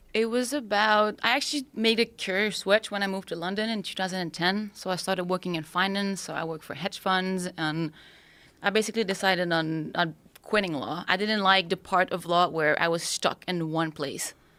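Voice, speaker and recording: A woman's bright, sharp tone in a French-Canadian accent, with ordinary pitch variation. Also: medium pitch for a woman, fairly quick pace. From Quebec, Montreal. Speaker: spearfisher, former lawyer. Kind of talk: podcast interview.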